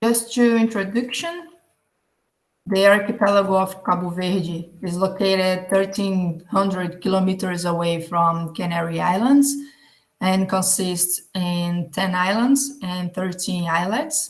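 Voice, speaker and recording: A woman's somewhat breathy, medium-pitched voice in a Portuguese accent, with audible room echo. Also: ordinary pitch variation. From Brazil. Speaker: geographer, conference presenter. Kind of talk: conference presentation. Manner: halting.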